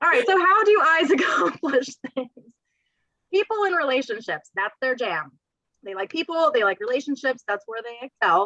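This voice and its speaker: The voice is raised and projected, swinging very widely in pitch. The sound is dry and close, with no echo. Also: woman, high pitch for a woman, moderate pace. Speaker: real estate career trainer. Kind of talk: training presentation. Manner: loud.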